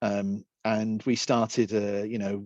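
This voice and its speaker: A man speaks with a British accent against a quiet background. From Britain. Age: 50s. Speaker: accessibility and design specialist. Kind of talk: talk presentation. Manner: halting, repetitive fillers.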